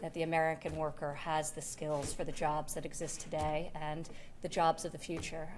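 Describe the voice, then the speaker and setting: She talks in a New York accent. Her voice sits very deep and low for a woman. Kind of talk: public speech.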